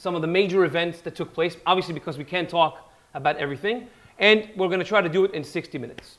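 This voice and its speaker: A loud man talks with a high pitch and ordinary pitch variation. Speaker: history lecturer. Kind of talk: lecture.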